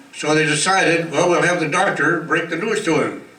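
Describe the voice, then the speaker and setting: A man's fairly high-pitched, fairly quick voice with fairly even intonation over noticeable background noise. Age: 80s+. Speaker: retirement home resident. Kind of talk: birthday speech with jokes. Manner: humorous.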